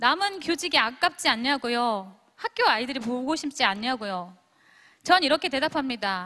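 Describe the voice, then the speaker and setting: Using a raised, projected voice with a bright, sharp tone, a woman moves at a moderate pace through very wide pitch swings. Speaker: former teacher and direct-sales business leader. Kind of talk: motivational speech to audience.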